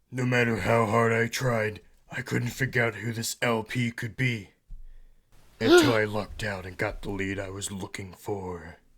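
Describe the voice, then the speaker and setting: In a very clean recording with a silent background, a man speaks at a medium pitch and a moderate pace with fairly even intonation. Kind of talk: hard-boiled voice-over. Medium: solo performance. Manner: deadpan, brooding.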